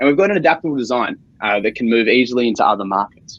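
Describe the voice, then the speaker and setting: Speaking very fast, a man with an Australian accent uses a medium pitch. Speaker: startup founder. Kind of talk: sales pitch.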